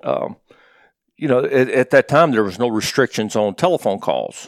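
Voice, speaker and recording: Recorded with a dry, close sound and no echo, a man with an East Tennessee accent talks at a moderate pace in a medium pitch. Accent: Southern US (East Tennessee). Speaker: college football coach. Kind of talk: interview.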